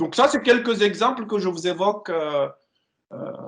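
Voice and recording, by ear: A man speaks at a high pitch and a moderate pace. His tone is fairly bright and his intonation lively.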